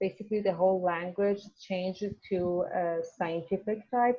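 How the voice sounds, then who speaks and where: Speaking at a fairly slow pace, a woman talks with a Persian accent. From Iran. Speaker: university student. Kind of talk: casual class discussion. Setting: video call. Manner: halting, many fillers.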